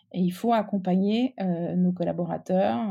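Very slow speech from a woman, recorded very cleanly against a silent background. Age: 40s. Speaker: business executive. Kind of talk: interview. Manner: halting.

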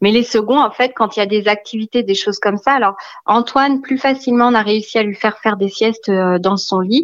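Pitch varies in an ordinary way as an unremarkable speaking voice talks at a fairly quick pace. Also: woman, fairly high pitch for a woman. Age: 30s. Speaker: mother of three. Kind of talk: casual chat.

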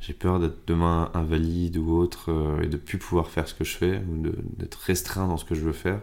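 A man speaks in a very deep, low pitch at a moderate pace. His intonation is monotone and flat. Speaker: explorer doing challenges. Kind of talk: casual interview.

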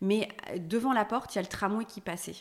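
A woman's voice moves at moderate speed while noticeable noise carries on behind it. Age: 40s. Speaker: homeowner who renovated her house. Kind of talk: casual interview. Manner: hesitant, many fillers.

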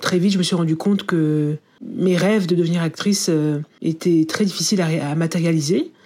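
A woman with a dark, mellow tone and a fairly low pitch talks at a moderate pace. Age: 30s. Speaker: journalist and author. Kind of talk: testimony.

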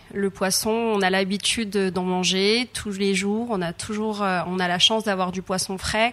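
A woman speaks at medium pitch with monotone, flat intonation. Her pace is moderate. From Madagascar. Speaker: chef and cooking trainer. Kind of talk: interview. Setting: on a ship. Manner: hesitant, many fillers.

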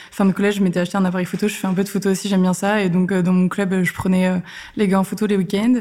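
A woman's medium-pitched, somewhat breathy voice, dark and mellow in tone, very fast, flat and monotone, with very even loudness. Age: 20s. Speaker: freelance community manager. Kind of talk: interview. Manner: casual.

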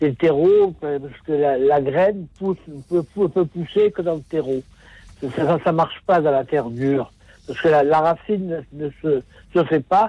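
A man speaks at a fairly slow pace with long, frequent pauses. His pitch is fairly high, with ordinary variation. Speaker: caller. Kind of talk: phone-in testimony. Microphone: poor phone line.

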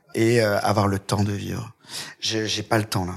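On a very clean recording with a silent background, a man with a fairly low pitch speaks fairly slowly in a flat monotone. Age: 30s. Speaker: hairdresser and TV presenter. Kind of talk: interview.

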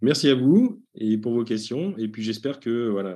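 A man's medium-pitched voice has a dark, mellow tone over a quiet background. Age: 40s. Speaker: HR consultant and author. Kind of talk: interview.

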